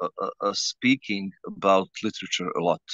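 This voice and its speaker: Dry and close with no echo, a man's bright, sharp voice moves at a moderate pace. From Bosnia and Herzegovina, Sarajevo. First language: Bosnian/Serbo-Croatian. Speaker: writer. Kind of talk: interview. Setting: outdoors in a garden. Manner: halting, many hesitations and repetitions.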